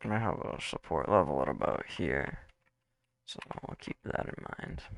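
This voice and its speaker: A man with a very deep, low pitch speaks at a fairly slow pace in a relaxed tone, with vocal fry, very wide pitch swings and big swings in loudness. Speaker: crypto livestreamer. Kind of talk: casual livestream commentary on charts. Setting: livestream. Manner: relaxed, conversational.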